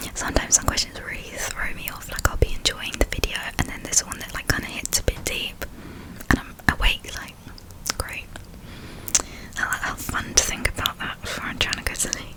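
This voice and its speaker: Fairly quick whispering broken by long, frequent pauses, over noticeable background noise. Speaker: ASMR creator. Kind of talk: ASMR whispered talk to camera. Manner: whispered.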